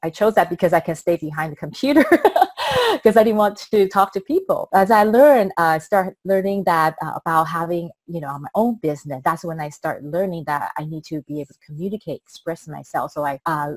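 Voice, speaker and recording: A woman with a Taiwanese accent talks at a fairly quick pace, with a fairly low pitch and ordinary pitch variation. Her loudness swings widely, and the sound is dry and close with no echo. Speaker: business coach. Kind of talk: interview. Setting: video call. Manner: hesitant, many fillers.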